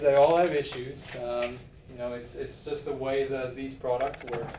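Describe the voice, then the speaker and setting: Over noticeable background noise and audible room echo, a man with a South African accent talks at a moderate pace with fairly even intonation. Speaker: engineer presenting to sales reps. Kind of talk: product presentation.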